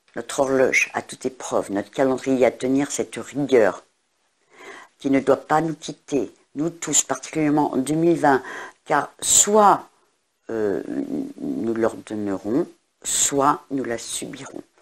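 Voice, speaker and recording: A woman's very deep, low voice, very slow, with long, frequent pauses and ordinary pitch variation. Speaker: astrologer and tarot reader. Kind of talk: astrology forecast monologue. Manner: hesitant, many fillers.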